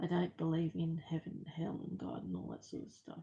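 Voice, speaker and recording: Soft-spoken and somewhat breathy, a woman talks with an Australian accent. Her voice sits fairly low, with a dark, mellow tone. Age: 50s. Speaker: crafter vlogger. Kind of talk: personal testimony. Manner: halting.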